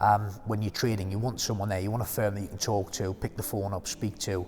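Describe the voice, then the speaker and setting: Talking at a very fast pace, a man uses a fairly low, somewhat breathy voice in a flat monotone. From far northern England, near Scottish border. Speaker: trading firm executive. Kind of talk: company team introduction video.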